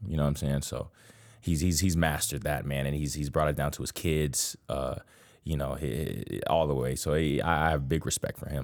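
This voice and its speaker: At a fairly quick pace, a man with a very deep, low pitch and an American accent speaks in a monotone, flat intonation on a very clean recording with a silent background. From Miami, Florida. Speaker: college basketball player. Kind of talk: interview. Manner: casual, repeats words.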